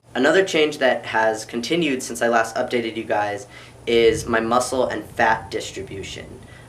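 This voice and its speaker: At a moderate pace, a man speaks in a medium pitch with ordinary pitch variation, amid audible room echo and noticeable background noise. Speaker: YouTuber vlogging about transition. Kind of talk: personal vlog update.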